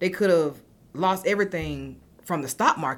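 A woman's fairly low voice with vocal fry and an American accent, on a very clean recording with a silent background. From US South, Augusta, Georgia. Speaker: financial services founder. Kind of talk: casual interview chat.

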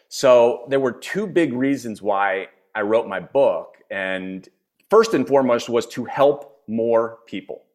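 Speaking with an American accent, a man keeps a very slow pace. His medium pitch has ordinary variation. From US, Philadelphia. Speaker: executive coach and author. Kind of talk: interview.

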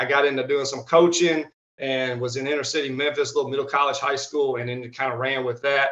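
A man with a Southern US accent and a fairly high pitch. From Arkansas, US South. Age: 30s. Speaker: strength coach. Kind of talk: casual interview chat.

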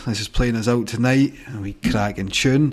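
Upbeat and cheerful, a man with a Scottish accent talks at a moderate pace and a medium pitch. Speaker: radio host. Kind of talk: radio DJ patter. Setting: studio. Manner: upbeat, chatty, cheerful.

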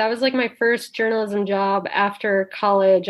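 A woman with an Upper Midwest accent, talking at a fairly quick pace in a fairly even intonation. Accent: Upper Midwest American. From northwestern Wisconsin, small town. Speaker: freelance writer and podcast critic. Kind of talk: casual interview.

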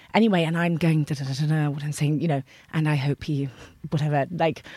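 A woman with an English accent and a very deep, low pitch speaks at a very fast pace on a very clean recording with a silent background. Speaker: actor. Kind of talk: casual chat.

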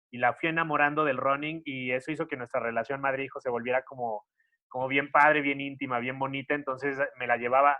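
Speaking at a very fast pace, a man keeps a fairly high pitch in a monotone, flat delivery. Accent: Mexican. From Mexico, Xalapa, Veracruz. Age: 30s. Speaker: content creator. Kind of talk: casual interview.

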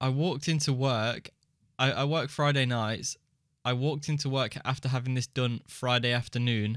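With an English accent, a man talks at a moderate pace, medium pitch and very even loudness, his intonation fairly even, on a very clean recording with a silent background. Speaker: podcast co-host. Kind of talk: casual chat. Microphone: new mic he struggled to make sound good.

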